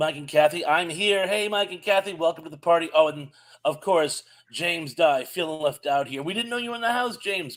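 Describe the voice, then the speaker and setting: Speaking at a fairly quick pace, a man with an American accent has a high pitch. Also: lively intonation, big swings in loudness. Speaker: live stream co-host. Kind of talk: casual live stream chat, reading viewer greetings.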